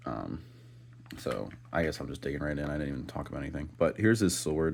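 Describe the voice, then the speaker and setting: A man with a very deep, low pitch, vocal fry, lively intonation, and a fairly quick pace. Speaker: toy reviewer. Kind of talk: unboxing review. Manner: casual, filler-heavy.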